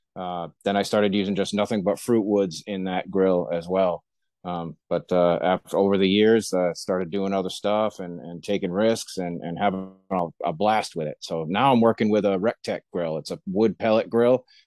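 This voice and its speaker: Over music in the background, a man with a very deep, low pitch speaks at a moderate pace with fairly even intonation, the sound dry with no echo. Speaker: podcast guest. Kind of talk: interview answer. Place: home room. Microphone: video call.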